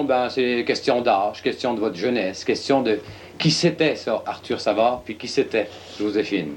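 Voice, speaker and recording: A man's a plain, everyday voice sits at a medium pitch and moves at a moderate pace. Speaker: TV host. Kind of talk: interview.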